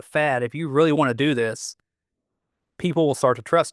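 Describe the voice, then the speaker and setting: A Southern US accent at a fairly quick pace, with ordinary pitch variation on a very clean recording with a silent background. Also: man. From US South. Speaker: metal guitarist and producer. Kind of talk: casual interview chat. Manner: halting, many fillers.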